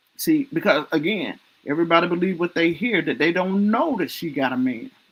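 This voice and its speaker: Lively intonation from a woman with a Southern US accent, her fairly low voice moving at a fairly quick pace. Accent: Southern US country. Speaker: livestream talk show host. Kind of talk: casual chat. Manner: animated.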